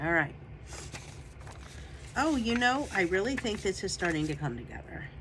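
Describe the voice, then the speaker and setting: A woman with a medium-pitched voice moves at a moderate pace through very wide pitch swings and long, frequent pauses, over noticeable background noise. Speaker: junk journal crafter. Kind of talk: casual craft process talk to camera. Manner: casual, chatty.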